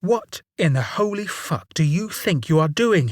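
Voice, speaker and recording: A put-on character voice at a middle pitch, delivered at a moderate pace. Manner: enraged.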